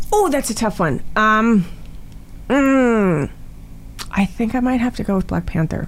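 Over a silent background in a very clean recording, a woman with a Canadian accent and fairly high pitch speaks fairly slowly with lively intonation and long, frequent pauses. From Toronto, Canada. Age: 40s. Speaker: actress. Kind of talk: casual chat.

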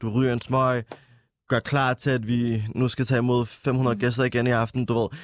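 A man's medium-pitched voice in a flat monotone. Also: moderate pace. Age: 20s. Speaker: musician and nightlife worker. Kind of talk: casual chat.

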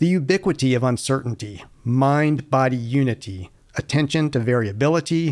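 In an ordinary speaking voice, a man talks at a moderate pace, his fairly high pitch moving with ordinary variation over a very clean recording with a silent background. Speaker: podcast co-host. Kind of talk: scripted intro and outro.

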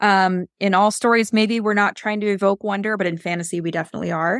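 An ordinary speaking voice talks at a fairly quick pace with ordinary pitch variation. Very clean recording, silent background. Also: woman. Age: 30s. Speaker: podcast host and writing coach. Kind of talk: podcast discussion of book analysis.

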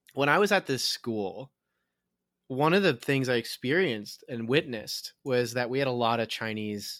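A man with a plain, everyday voice talks at a fairly quick pace, medium pitch, and ordinary pitch variation. The recording is very clean, silent in the background, and dry and close with no echo. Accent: American. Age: 20s. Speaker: podcast host. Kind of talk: casual chat.

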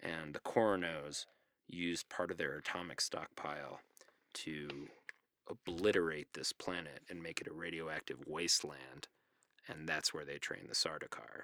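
In a dry, close recording with no echo, a man with an American accent talks at a moderate pace in a very deep, low pitch, his bright, sharp tone carrying vocal fry and fairly even intonation. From New Mexico, US. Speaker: podcast guest discussing a novel. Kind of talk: casual chat. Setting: home closet recording.

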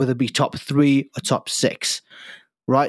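A man with a British accent and a medium-pitched voice talks at a moderate pace in a very clean recording with a silent background. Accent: British-sounding English. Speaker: podcast host; future US Air Force member. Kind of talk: casual chat.

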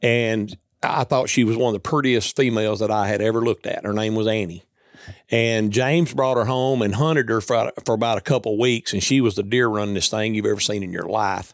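Speaking at a fairly quick pace, a man has a Southern US accent. His pitch variation is ordinary. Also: medium pitch for a man. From US South, Tennessee. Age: 60s. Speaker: coonhound hunter. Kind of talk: casual chat. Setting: indoors at a hunting lodge.

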